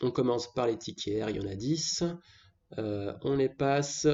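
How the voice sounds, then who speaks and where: Fairly slow pace with ordinary pitch variation. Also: man. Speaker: gaming youtuber. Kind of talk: gameplay commentary. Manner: casual.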